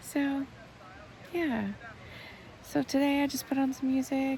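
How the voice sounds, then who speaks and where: Background noise is noticeable throughout. The woman's pace is fairly slow. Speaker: healer and vlogger. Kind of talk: casual vlog monologue. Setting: outdoors in a tent at a festival campsite. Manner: quiet, mumbling.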